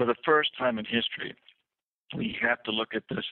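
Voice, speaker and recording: A man with an American accent has an ordinary speaking voice at a medium pitch. He talks at a fairly quick pace with fairly even intonation. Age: 60s. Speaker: author and former economic advisor. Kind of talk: radio interview.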